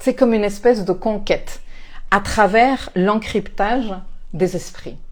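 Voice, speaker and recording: Speaking with a non-native accent, a woman uses a fairly high pitch and fairly even intonation. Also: fairly slow pace. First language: not French (speaking French). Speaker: astrologer and life coach. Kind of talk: spiritual talk to camera. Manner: hesitant, many fillers and repetitions.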